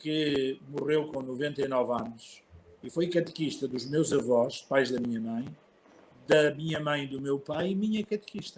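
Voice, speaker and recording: A man talks at a moderate pace with a fairly high pitch and ordinary pitch variation. He has an unremarkable speaking voice. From northern Portugal (Barcelos), childhood partly in Mozambique. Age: 60s. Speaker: archbishop. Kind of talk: interview, personal life story.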